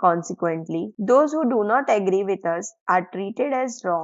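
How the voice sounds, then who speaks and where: A woman with a non-native accent, at a fairly slow pace with lively intonation. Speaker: audiobook reader. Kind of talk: audiobook reading of nonfiction.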